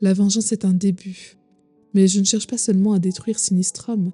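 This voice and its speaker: Monotone, flat delivery at a moderate pace, dry and close with no echo, music in the background. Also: woman. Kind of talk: sleep story.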